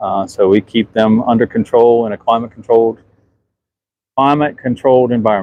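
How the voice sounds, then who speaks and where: With a Southern US accent, a man speaks at a moderate pace in a medium pitch with fairly even intonation. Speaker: museum ship superintendent. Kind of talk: livestream walkthrough. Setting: outdoors on a ship underway. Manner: casual, halting.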